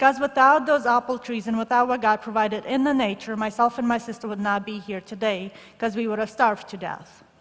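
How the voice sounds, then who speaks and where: A woman talks in a Russian accent with fairly even intonation. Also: fairly high pitch for a woman, fairly quick pace, hardly any pauses. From former Soviet Union. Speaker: shoebox gift recipient speaker. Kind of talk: testimony.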